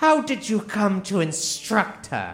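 Faint music and hissing sit behind a man doing a put-on character voice, high in pitch with lively intonation at a fairly slow pace. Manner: hissing, menacing.

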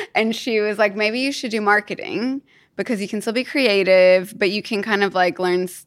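With a Kentucky accent, a woman speaks at a medium pitch. She talks fairly quickly, with ordinary pitch variation. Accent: US Southern (Kentucky) American. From Kentucky, US. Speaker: business founder. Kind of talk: casual chat. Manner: animated.

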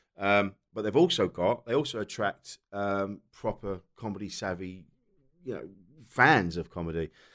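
A man speaks at a fairly low pitch and a moderate pace, with a southern English accent. His pitch varies in an ordinary way, and the recording is very clean with a silent background. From South East England. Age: 40s. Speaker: comedian. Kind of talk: casual chat.

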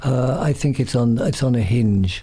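A man's somewhat breathy voice, medium in pitch, dark and mellow in tone, with fairly even intonation and a fairly slow pace. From Ireland, Dublin. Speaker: DJ, music publicist and musician. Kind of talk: interview.

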